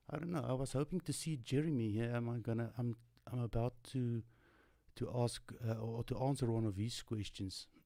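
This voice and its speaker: Talking at a fairly quick pace with a non-native accent, a man has a medium pitch, a dark, mellow tone and ordinary pitch variation. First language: not English. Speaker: tutorial live streamer. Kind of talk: live stream Q&A. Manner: halting.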